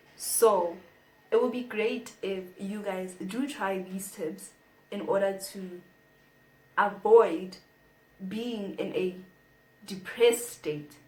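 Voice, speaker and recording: Amid audible room echo, a woman talks at a very slow pace with fairly even intonation, big swings in loudness and long, frequent pauses. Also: medium pitch for a woman. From South Africa. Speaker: YouTuber. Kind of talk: casual vlog talk to camera.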